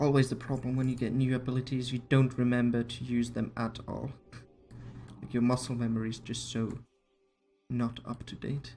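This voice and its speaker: The speech has long, frequent pauses, with music playing in the background. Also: moderate pace. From Finland. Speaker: video game streamer. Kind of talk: casual live gameplay commentary. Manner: hesitant, with frequent fillers.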